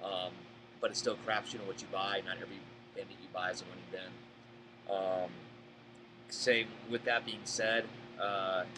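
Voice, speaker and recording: With a Boston accent, a man talks at a moderate pace in a monotone, flat intonation, with big swings in loudness, long, frequent pauses and noticeable background noise. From Boston area, Massachusetts. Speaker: storage auction buyer. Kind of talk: live Q&A. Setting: live stream.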